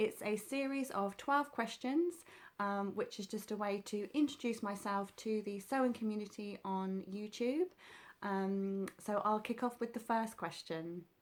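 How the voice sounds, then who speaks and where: A woman with a southern English accent speaks at a moderate pace in a fairly high voice, recorded very cleanly against a silent background. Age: 30s. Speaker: sewing vlogger. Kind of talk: casual vlog talk. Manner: hesitant, many fillers.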